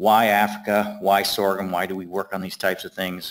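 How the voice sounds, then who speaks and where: At a fairly quick pace, a man talks in a fairly low pitch with an unremarkable speaking voice. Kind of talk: lecture. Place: hall.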